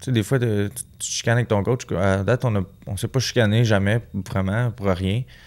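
A man's fairly low voice in a Quebec accent, at a moderate pace with fairly even intonation. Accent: Québécois French. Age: 20s. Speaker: professional boxer; guest. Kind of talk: casual interview. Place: studio. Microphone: studio mic.

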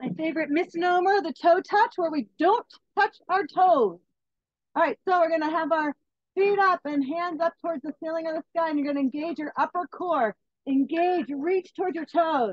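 With an extremely high pitch and ordinary pitch variation, a woman talks at a moderate pace in a dry sound with no echo against a quiet background. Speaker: fitness instructor. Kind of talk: workout class instruction. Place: garden.

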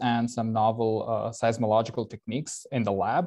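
A man talks at a moderate pace with a quiet background behind him. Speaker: presenter. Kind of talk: lecture. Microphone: video call.

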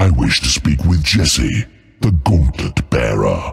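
A put-on character voice comes through with vocal fry. It moves at a slow pace with big pitch swings. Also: man, extremely low pitch for a man.

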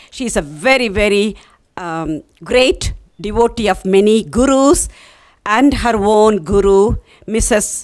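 A woman at a very slow pace, ordinary pitch variation, quiet background. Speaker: TV interview host. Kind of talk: TV show intro. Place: studio. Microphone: handheld.

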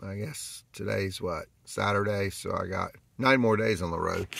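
A man talks at a moderate pace in a fairly low voice with ordinary pitch variation. The sound is dry with no echo, though noticeable background noise is present. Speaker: road-trip vlogger. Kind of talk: casual vlog chat. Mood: relaxed, cheerful. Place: car. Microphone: phone near.

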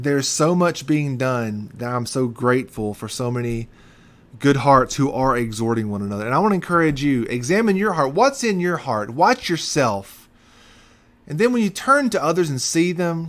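A man speaks with lively intonation at a moderate pace. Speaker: pastor. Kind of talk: sermon. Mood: earnest, encouraging. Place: office. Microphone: webcam.

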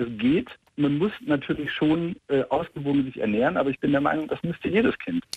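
Speaking at a fairly quick pace, a man with a normal speaking voice and fairly high pitch sounds dry, with no echo. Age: 30s. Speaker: caller, vegan parent; caller. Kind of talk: phone call-in conversation. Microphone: phone line.

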